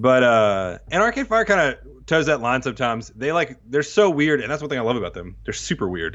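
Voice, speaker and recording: Here a man speaks at a medium pitch and a fairly quick pace. His voice shows very wide pitch swings. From Texas and Mississippi. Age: 30s. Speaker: podcast host and bass player. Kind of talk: casual chat.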